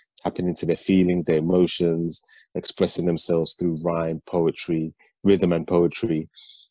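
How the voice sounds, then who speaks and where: Very deep and low in pitch, a man speaks in a dark, mellow tone with monotone, flat intonation. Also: dry, close sound with no echo. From UK, part of childhood in Nigeria. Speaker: rapper and educator. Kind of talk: interview.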